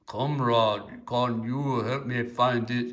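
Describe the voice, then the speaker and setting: A man puts on a character voice with a Russian accent, speaking at a medium pitch in a flat monotone at a very slow pace. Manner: pleading for guidance.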